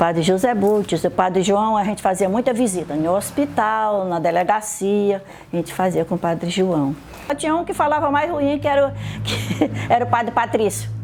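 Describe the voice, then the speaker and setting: Noticeable background noise sits behind a woman speaking at a medium pitch. She keeps a moderate pace with lively intonation. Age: 80s+. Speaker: catechist. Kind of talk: testimony.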